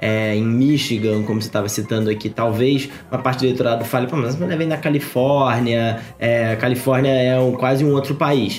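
A man speaks at a medium pitch with ordinary pitch variation. Music plays in the background and the room echo is audible. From Brazil, Rio de Janeiro. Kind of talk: casual chat.

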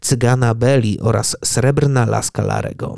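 Speaking in a dramatic tone at medium pitch, a man keeps his intonation fairly even in a dry, close sound with no echo. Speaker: podcast host. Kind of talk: scripted horror narration. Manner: hushed, suspenseful storytelling; measured, ominous, dramatic pacing.

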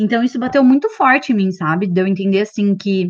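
Against a quiet background, a woman uses a plain, everyday voice at medium pitch with ordinary pitch variation. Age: 30s. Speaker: career content creator. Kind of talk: casual chat.

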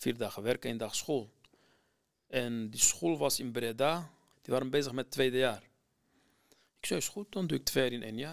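A man with a Kurdistan accent, medium-pitched, at a moderate pace with ordinary pitch variation and long, frequent pauses. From Iraqi Kurdistan, near Mosul. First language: Kurdish (speaking Dutch). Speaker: former refugee student. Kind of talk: personal testimony. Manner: halting, many hesitations.

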